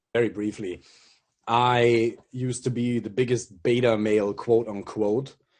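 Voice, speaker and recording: A man with a German accent, monotone, flat intonation and a quiet background. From Germany. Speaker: dating coach. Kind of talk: casual interview chat.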